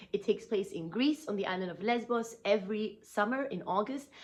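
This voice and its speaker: A woman speaks in an ordinary speaking voice with a fairly high pitch. Her pace is moderate and her pitch variation ordinary. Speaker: concert pianist. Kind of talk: casual vlog talk. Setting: backstage at a concert, intermission.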